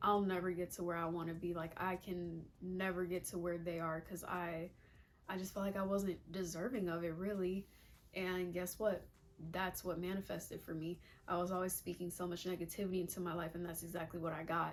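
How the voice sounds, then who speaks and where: Over music in the background, a woman speaks at a fairly low pitch in a monotone, flat intonation. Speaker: lifestyle vlogger. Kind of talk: casual advice monologue. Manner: fast.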